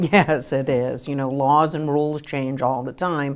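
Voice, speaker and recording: Very deep and low, a woman's voice stays monotone and flat at a fairly slow pace in a very clean recording with a silent background. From United States. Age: 60s. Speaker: credit union financial educator. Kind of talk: TV talk show interview.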